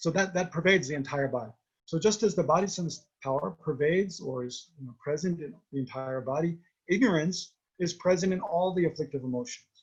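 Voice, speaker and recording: A man's high-pitched voice at a fairly quick pace, with lively intonation and big swings in loudness. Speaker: Buddhist teacher. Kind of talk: dharma teaching. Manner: fast.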